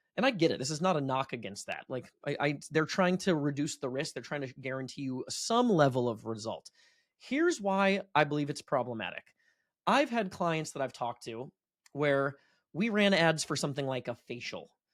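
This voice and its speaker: Lively in intonation, a man's fairly high voice comes through dry and close with no echo on a very clean recording with a silent background. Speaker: marketing agency owner and podcast host. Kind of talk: educational business presentation. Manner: fast.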